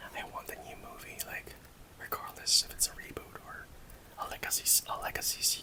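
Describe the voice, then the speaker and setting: A man's fairly quick whispering, with big swings in loudness and noticeable background noise. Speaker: ASMR creator. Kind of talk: casual talk to camera, collectible figure showcase. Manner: soft-spoken, whispery ASMR delivery.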